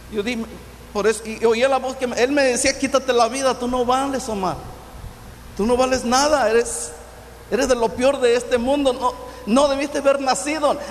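A man with an extremely high voice speaks at a moderate pace in a Michoacán accent, his fairly even intonation broken by long, frequent pauses over noticeable background noise. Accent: Mexican Spanish, Michoacán. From Michoacán, Mexico. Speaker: pastor. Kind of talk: testimony.

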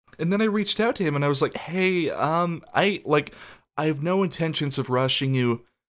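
A man talks at a moderate pace, his pitch varying in an ordinary way. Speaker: podcast host. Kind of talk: casual solo monologue. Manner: showy performance voice.

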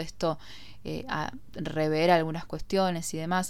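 Audible room echo surrounds a woman speaking at a very slow pace, her pitch very deep and low and her intonation fairly even. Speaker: podcast host. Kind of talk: casual monologue.

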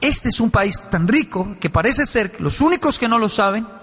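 Moderate pace over noticeable background noise. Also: man. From Colombia, Bogotá (Ciudad Bolívar). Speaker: motivational speaker. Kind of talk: motivational talk to an audience. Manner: animated, acting out dialogues.

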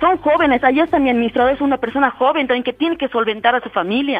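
Very fast speech set against music in the background. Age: 30s. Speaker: business owner. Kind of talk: complaint to the mayor.

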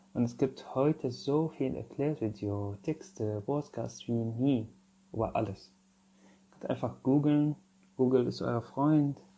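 Speaking with an Arabic accent, a man uses a medium pitch, a dark, mellow tone and ordinary pitch variation. His pace is very slow, with big swings in loudness. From Syria. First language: Arabic (speaking German). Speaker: podcast host, social worker. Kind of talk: casual monologue.

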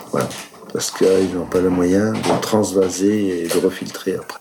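This man's pitch is very deep and low. He talks at a fairly slow pace. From Italy, raised in Moselle. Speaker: winemaker. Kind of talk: interview. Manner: hesitant, many fillers.

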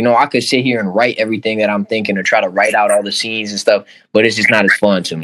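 Very fast, hardly pausing male speech with a bright, sharp tone and fairly low pitch. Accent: Chicago-area. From Oak Park, Chicago area. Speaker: music artist. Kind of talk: casual interview.

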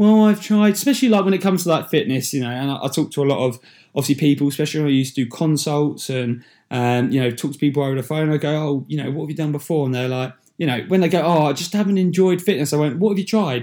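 A man's dark, mellow voice with an English accent, very fast in pace, in a very clean recording with a silent background. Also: ordinary pitch variation. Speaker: podcast host. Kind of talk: solo motivational talk. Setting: solo recording into a microphone. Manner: casual, with many fillers.

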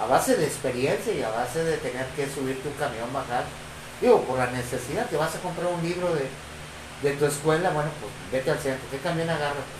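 A man with a fairly high pitch talks at a fairly quick pace, with audible room echo and noticeable background noise. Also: ordinary pitch variation. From Ciudad Victoria, Tamaulipas, Mexico. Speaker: guest. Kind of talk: casual chat.

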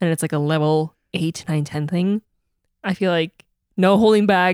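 Recorded very cleanly with a silent background and a dry, close sound with no echo, a woman with an American accent and an unremarkable speaking voice talks at a moderate pace, her fairly low pitch showing ordinary variation. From Wisconsin, West Bend area. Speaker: podcast co-host. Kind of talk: casual chat.

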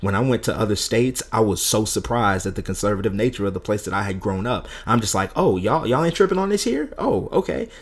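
Over noticeable background noise, a man talks at a very fast pace with hardly any pauses. His pitch is medium and his intonation lively. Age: 30s. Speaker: minister and podcast co-host. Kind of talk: casual faith discussion.

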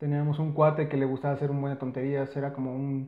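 The man speaks at a fairly quick pace. His voice is fairly high, with monotone, flat intonation. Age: 30s. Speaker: podcast co-host. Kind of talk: casual chat.

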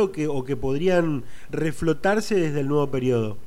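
Someone with an Argentine accent speaks at a moderate pace with ordinary pitch variation. Audible room echo surrounds the voice. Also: man. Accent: Rioplatense Argentine Spanish. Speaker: political news interviewer. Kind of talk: interview.

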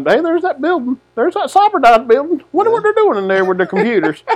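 A man uses a put-on character voice at an extremely high pitch. He talks at a very fast pace with very wide pitch swings. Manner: dopey, clueless.

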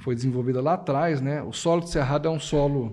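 A man with a fairly high, dark and mellow voice talks at a fairly quick pace with ordinary pitch variation, against a quiet background. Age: 40s. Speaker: coffee growers' federation executive. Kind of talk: casual chat. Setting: studio.

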